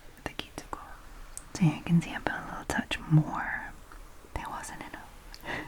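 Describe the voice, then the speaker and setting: A woman whispers at a moderate pace with long, frequent pauses and big swings in loudness. Noticeable background noise sits behind her. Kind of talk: ASMR voiceover. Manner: soft-spoken, whispered.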